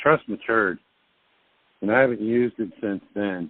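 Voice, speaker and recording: Speaking at a moderate pace, a man uses a fairly low pitch and ordinary pitch variation. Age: 50s. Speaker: conference call host answering legal and financial questions. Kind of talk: Q&A conference call advice. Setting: conference call.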